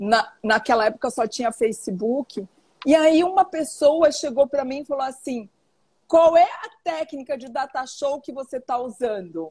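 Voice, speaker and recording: A woman's high-pitched, animated voice with lively intonation at a fairly slow pace, dry and close with no echo. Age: 60s. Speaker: author and teacher on women's health. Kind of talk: interview on live stream.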